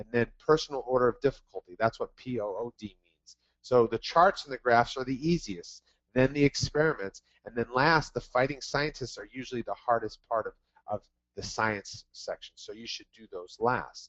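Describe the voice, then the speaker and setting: A man talks in a plain, everyday voice at a medium pitch. His pace is moderate, with ordinary pitch variation and big swings in loudness. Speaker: test prep tutor. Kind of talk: webinar presentation. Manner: repetitive fillers.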